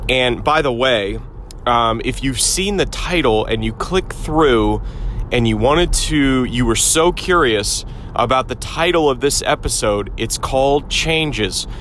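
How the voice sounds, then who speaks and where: A man talks at a fairly slow pace while noticeable background noise plays behind him. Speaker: podcast host. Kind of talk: solo podcast monologue. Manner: casual, filler-heavy.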